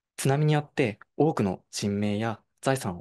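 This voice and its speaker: A man uses a normal speaking voice with lively intonation, recorded in a dry sound with no echo against a quiet background. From Japan, Fukushima, Koriyama; Fukushima, Japan. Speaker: university student intern; presenter. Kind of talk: online presentation. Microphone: video call.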